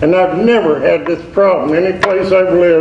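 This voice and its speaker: Noticeable background noise and audible room echo surround the speaker. He is a man with a high pitch. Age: 70s. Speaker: resident speaking at public comment. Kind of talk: public comment at council meeting.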